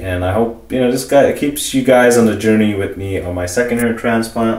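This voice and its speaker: Amid noticeable background noise and audible room echo, a man speaks fairly quickly at a medium pitch with ordinary pitch variation. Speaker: vlogger documenting his hair transplant. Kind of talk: casual video diary. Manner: fast; halting, many fillers.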